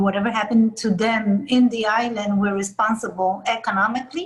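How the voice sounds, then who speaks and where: A woman speaks in a fairly high pitch, somewhat breathy. Her intonation stays fairly even. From Puerto Rico. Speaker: community leader. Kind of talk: interview.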